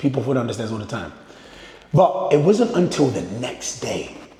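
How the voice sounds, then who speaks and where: Amid noticeable background noise and audible room echo, a man talks at a fairly high pitch with very wide pitch swings. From North West London. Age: 20s. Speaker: fitness and faith content creator. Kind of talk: personal vlog storytelling. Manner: casual, conversational.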